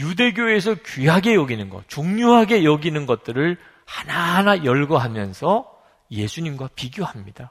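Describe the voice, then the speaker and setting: This man's voice is fairly high and somewhat breathy. He talks at a fairly slow pace with very wide pitch swings. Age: 50s. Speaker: pastor. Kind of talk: sermon.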